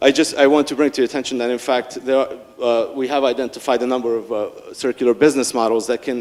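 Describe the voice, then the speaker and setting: A man talks at a very fast pace. His pitch is medium. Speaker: conference speaker. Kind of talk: conference presentation. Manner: halting, many fillers and repetitions.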